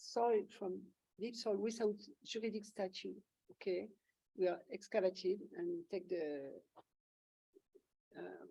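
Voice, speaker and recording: In a French accent, a woman speaks fairly slowly at a medium pitch, her dark, mellow tone touched with vocal fry. Her loudness swings widely, her pitch varies in an ordinary way, and long pauses come often. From France, Auvergne. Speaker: photographer. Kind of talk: Q&A discussion. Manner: halting.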